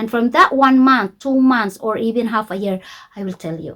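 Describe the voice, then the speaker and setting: The voice has a bright, sharp tone and a non-native accent. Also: woman. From Philippines. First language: not English. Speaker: YouTube coach. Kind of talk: tutorial. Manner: slow, simple English.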